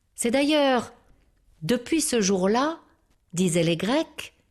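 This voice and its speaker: In a calm tone, a woman speaks at a fairly high pitch, her voice sounding strained. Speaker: storyteller. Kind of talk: storytelling for children. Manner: calm, measured; restrained or vibrant for suspense.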